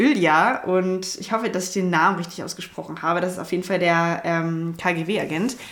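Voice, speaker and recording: A woman at medium pitch with fairly even intonation and hardly any pauses, amid noticeable background noise and audible room echo. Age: 20s. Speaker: film podcast co-host. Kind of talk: casual chat.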